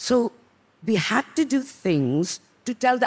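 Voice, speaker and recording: The pace is fairly slow. Pitch swings very widely throughout. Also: woman. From India, Sikkim (Northeast). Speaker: fashion journalist. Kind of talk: panel discussion.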